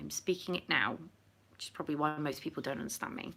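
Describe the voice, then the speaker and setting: The voice has a bright, sharp tone and a southern English accent. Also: woman. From England, Oxfordshire. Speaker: livestreamer. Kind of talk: casual chat. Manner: animated.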